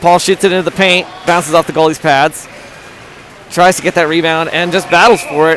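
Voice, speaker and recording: With music in the background, a man speaks at a high pitch. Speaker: amateur livestream commentator for youth hockey. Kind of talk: live commentary. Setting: in the stands at an ice rink. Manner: animated.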